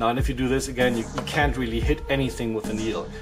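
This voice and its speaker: A man talks with a German accent while music plays in the background. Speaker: miniature painter. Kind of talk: tutorial talk to camera.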